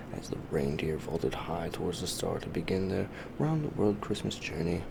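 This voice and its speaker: Whispering over noticeable background noise. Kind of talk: bedtime story narration. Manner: soft-spoken, whispered.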